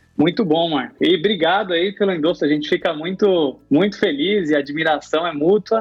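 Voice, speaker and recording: A man with a high pitch speaks at a moderate pace, with hardly any pauses. His loudness stays very even, with ordinary pitch variation. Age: 30s. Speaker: podcast host. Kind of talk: interview.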